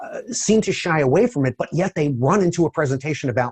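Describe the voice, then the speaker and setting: Fairly high and somewhat breathy, a man's voice moves at a fairly quick pace with lively intonation. The sound is dry and close, with no echo. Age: 60s. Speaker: database technology speaker. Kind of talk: interview.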